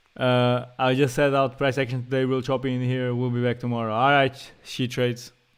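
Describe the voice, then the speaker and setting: A man with a Portuguese accent speaks at a fairly quick pace. His medium-pitched voice has a monotone, flat intonation. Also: hardly any pauses. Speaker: day trader and streamer. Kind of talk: live stream commentary. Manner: casual, slangy.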